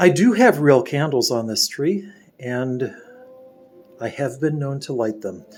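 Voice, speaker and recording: Music plays in the background as a man speaks at a fairly high pitch. He goes at a fairly slow pace, with long, frequent pauses. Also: lively intonation. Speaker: home video tour guide. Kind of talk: home tour narration.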